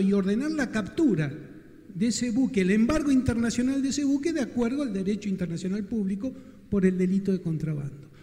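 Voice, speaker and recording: A man talks with lively intonation at a high pitch. The background is quiet. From Patagonia, Santa Cruz, Argentina; Santa Cruz, Argentina. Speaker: audience member. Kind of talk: audience question. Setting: event hall with audience. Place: hall. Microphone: handheld.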